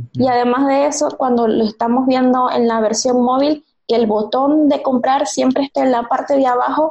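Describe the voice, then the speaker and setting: High in pitch, a woman's voice keeps a fairly even intonation. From Venezuela, Maracaibo. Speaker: UX designer. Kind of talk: interview.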